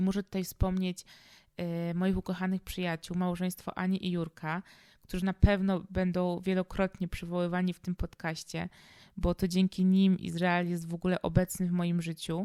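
On a very clean recording with a silent background, a woman of medium pitch speaks at a moderate pace with monotone, flat intonation and a dry, close sound with no echo. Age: 20s. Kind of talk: personal monologue podcast.

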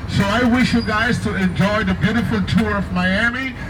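Over noticeable background noise, a man speaks in a high voice. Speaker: tour bus host. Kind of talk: tour announcement. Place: bus. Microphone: pa.

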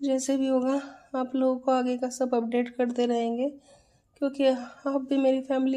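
A woman speaks in a high pitch at a very slow pace. Her intonation is monotone and flat. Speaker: new mother vlogger. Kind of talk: casual vlog chat. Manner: weak, drowsy voice after surgery. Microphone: phone near.

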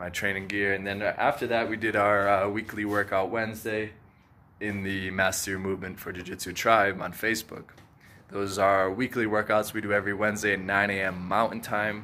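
Fairly low male voice, monotone and flat, at a fairly quick pace over light background noise. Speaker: jiu-jitsu coach. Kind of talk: casual vlog chat. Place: garage. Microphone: phone near.

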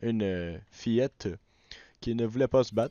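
With a Quebec accent, a man speaks at a fairly slow pace. His pitch varies in an ordinary way. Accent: Québécois French. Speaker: gaming YouTuber. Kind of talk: let's play commentary. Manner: animated.

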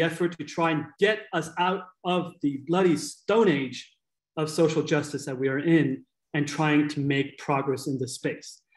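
A man at a moderate pace and a fairly high pitch, in a quiet background with audible room echo. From Kenya (Nairobi); Kenya. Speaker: nonprofit co-founder and CEO; guest. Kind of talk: webinar presentation. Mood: earnest, candid.

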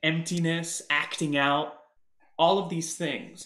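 Against a quiet background with audible room echo, a man speaks at a fairly high pitch. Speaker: performer and guest vocal coach. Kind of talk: voice coaching session. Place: home room. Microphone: webcam.

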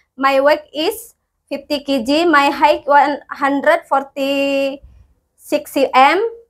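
In an Indonesian accent, a woman speaks very slowly at a high pitch with fairly even intonation. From Indonesia, West Java. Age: 30s. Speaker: domestic helper applicant. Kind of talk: self-introduction video. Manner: formal. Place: empty room. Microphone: lapel.

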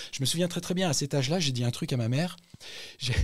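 A man talks in an animated, somewhat breathy voice. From Central Africa. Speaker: actor. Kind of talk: interview.

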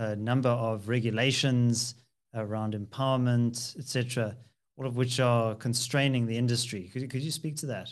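A man speaks at a moderate pace with a monotone, flat intonation against a quiet background. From South Africa. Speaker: podcast host, political analyst. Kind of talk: interview. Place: home room. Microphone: studio mic.

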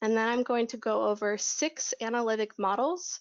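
A woman at a moderate pace with ordinary pitch variation, against a quiet background. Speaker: conference speaker. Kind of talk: presentation.

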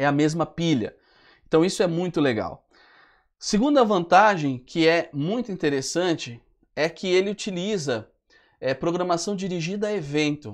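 High pitch from a man, with lively intonation, a moderate pace, long, frequent pauses and a quiet background. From Brazil. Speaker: web development instructor. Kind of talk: live webinar tutorial. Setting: live stream. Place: studio. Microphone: lapel.

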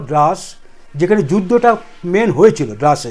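The voice belongs to a man. Its pitch varies in an ordinary way. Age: 60s. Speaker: tour operator. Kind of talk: interview. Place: office. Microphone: lapel.

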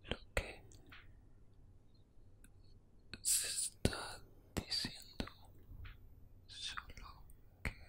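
A man speaks in a whisper. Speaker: content creator. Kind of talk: casual whispered chat. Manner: slow intimate whisper into mic. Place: home room. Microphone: studio mic.

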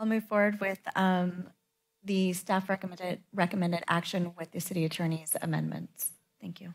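Over a quiet background, a woman talks at a moderate pace. Her intonation is monotone and flat. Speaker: city council member. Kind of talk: council meeting discussion. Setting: council chamber meeting. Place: hall. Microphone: podium.

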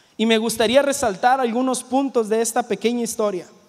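A man with an extremely high pitch talks at a fairly quick pace over a quiet background. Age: 20s. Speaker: youth pastor; preacher. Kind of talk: sermon. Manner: halting, repeats words. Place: church. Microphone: handheld.

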